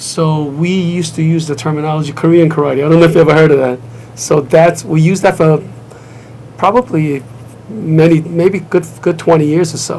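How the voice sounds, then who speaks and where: A man with a slight Brooklyn accent talks at a fairly quick pace with fairly high pitch. His intonation is fairly even, and there is noticeable background noise. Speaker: martial arts grandmaster and school owner. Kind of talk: TV interview. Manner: conversational, with hesitations and restarts.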